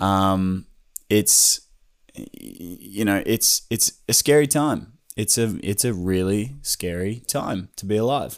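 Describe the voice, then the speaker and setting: Very slowly, a man with an Australian accent talks at a fairly low pitch with ordinary pitch variation, on a very clean recording with a silent background. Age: 20s. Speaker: YouTuber and creative. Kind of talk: solo podcast monologue. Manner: rambling.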